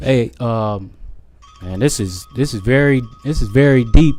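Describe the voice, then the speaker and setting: At a fairly slow pace, the speaker talks while music plays in the background. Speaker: talk show host. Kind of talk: interviewer.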